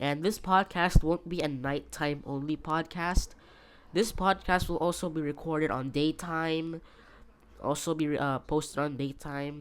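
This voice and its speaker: A woman puts on a character voice, raspy and very deep in pitch, with fairly even intonation. She speaks quietly at a moderate pace. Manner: speaking very quietly.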